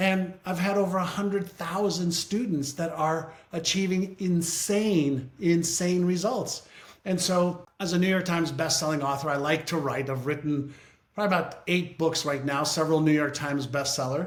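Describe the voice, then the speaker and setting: Audible room echo surrounds a man speaking at a moderate pace with a high pitch and ordinary pitch variation. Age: 60s. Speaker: author and brain-training business leader. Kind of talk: interview.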